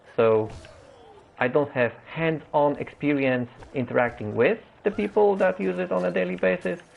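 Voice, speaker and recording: This man talks at a moderate pace while his pitch swings very widely. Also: medium pitch for a man. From Poland. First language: Polish. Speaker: gaming streamer. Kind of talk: live game stream commentary. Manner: halting, many fillers.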